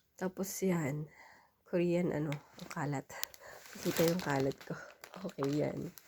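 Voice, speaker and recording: Pausing long and often, a woman speaks at a fairly slow pace in a very deep, low pitch, her tone dark and mellow and her intonation fairly even. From Philippines. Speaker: vlogger. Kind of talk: casual vlog haul.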